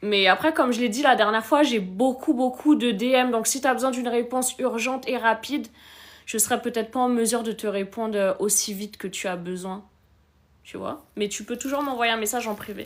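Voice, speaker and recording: Someone speaks at a fairly quick pace with ordinary pitch variation on a very clean recording with a silent background. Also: woman, fairly high pitch for a woman. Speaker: relationship coach hosting a live stream. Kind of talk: live stream chat answering comments.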